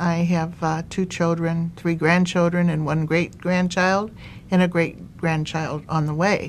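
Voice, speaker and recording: A woman talks in a fairly low pitch at a fairly slow pace. Her intonation is monotone and flat. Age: 70s. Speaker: cancer survivor. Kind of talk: testimony. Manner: halting.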